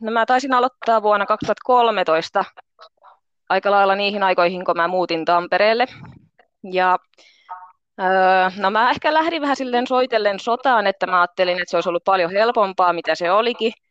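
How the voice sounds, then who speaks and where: A woman talks at a moderate pace and medium pitch, with ordinary pitch variation, in an ordinary speaking voice. The sound is dry and close, with no echo. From Finland, Pori. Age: 30s. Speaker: pole dance instructor and construction painter. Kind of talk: interview.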